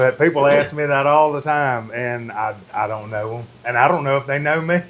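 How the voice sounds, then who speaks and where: A man talks at a moderate pace with a Mississippi accent, his pitch fairly high and its variation ordinary. Noticeable background noise is present. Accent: Mississippi Southern US. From Mississippi Delta, Indianola. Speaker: furniture designer and upholsterer. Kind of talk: casual interview chat.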